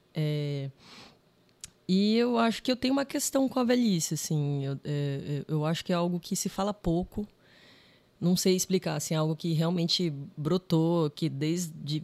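A woman's fairly low-pitched voice with a dark, mellow tone, ordinary pitch variation and a fairly slow pace, in a dry, close sound with no echo, on a very clean recording with a silent background. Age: 30s. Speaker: filmmaker. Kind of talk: podcast interview.

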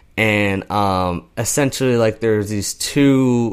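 At a fairly slow pace, this is a normal speaking voice with an American accent and ordinary pitch variation. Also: man. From Pennsylvania, US. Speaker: podcast co-host. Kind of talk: casual chat.

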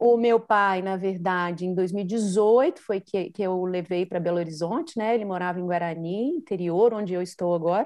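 A woman with a Minas Gerais accent speaks at a moderate pace and medium pitch, with ordinary pitch variation and hardly any pauses. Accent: mineiro (Minas Gerais). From Minas Gerais, Brazil. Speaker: podcaster and journalist. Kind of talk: casual interview chat.

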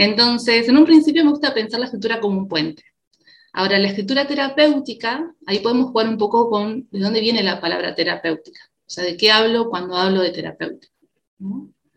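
In an unremarkable speaking voice, a woman talks fairly quickly with a fairly high pitch and lively intonation. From Uruguay. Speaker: psychologist. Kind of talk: interview conversation.

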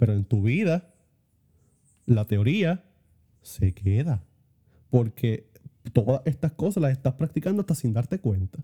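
Speaking at a fairly slow pace with long, frequent pauses, a man at a medium pitch has a dark, mellow, somewhat breathy tone, very wide pitch swings, and a dry, close sound with no echo. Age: 20s. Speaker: theology student. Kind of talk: casual chat.

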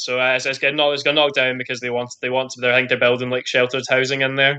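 Speaking at a very fast pace with a Scottish accent, a man has a bright, sharp tone and monotone, flat intonation over a quiet background. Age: 20s. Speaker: elite badminton player. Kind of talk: interview.

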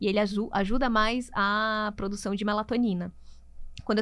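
A woman talks at a fairly quick pace in a plain, everyday voice. Her fairly high pitch keeps a fairly even intonation. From Brazil, Natal, Rio Grande do Norte. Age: 30s. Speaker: nutritionist. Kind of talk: interview.

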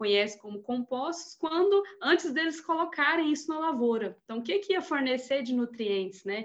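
Pitched high, a woman's voice travels across very wide swings in pitch. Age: 30s. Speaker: soil scientist. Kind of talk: technical discussion.

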